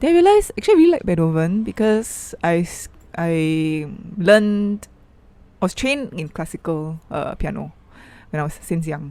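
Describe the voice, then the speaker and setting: With a Malaysian accent, a woman speaks at a moderate pace. Her pitch is fairly low, with ordinary variation. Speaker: artist and activist. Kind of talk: interview. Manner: soft-spoken.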